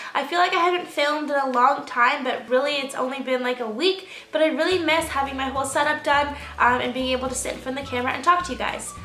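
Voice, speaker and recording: A raised, projected voice at a very fast pace, with music in the background. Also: woman, high pitch for a woman, ordinary pitch variation. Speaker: beauty vlogger. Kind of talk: casual talk to camera, product review.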